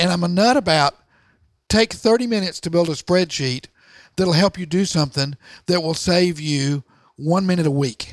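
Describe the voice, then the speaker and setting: A man with an American accent speaks at a moderate pace, his pitch high for a man and its variation ordinary, with long, frequent pauses. The recording is very clean with a silent background, and the sound is dry and close with no echo. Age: 60s. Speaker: entrepreneur and author. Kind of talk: interview. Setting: office garage.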